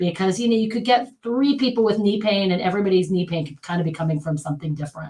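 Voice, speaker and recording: The speaker talks at a very fast pace with hardly any pauses and lively intonation. The voice is somewhat breathy, with an American accent. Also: woman, medium pitch for a woman. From United States. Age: 50s. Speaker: physical therapist. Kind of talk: casual interview.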